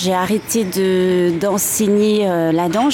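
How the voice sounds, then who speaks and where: Noticeable background noise runs through the clip. A woman talks over it. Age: 40s. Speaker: fitness coach and former dancer. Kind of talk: interview. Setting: outdoors near a café in Paris. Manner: halting.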